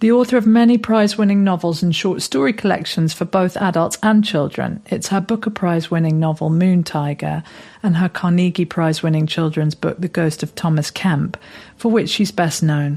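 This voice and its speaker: Using a normal speaking voice, this woman keeps a fairly low pitch and ordinary pitch variation. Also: moderate pace. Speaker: podcast interviewer. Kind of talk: podcast introduction.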